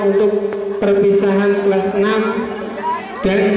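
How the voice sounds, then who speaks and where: A man talks at a high pitch in a monotone, flat delivery. Strong room echo and crowd noise fill the background. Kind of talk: formal ceremony speech. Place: tent. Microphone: pa.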